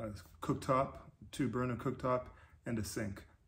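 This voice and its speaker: Fairly even intonation from a man talking at a moderate pace. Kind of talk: casual vlog chat. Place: garage.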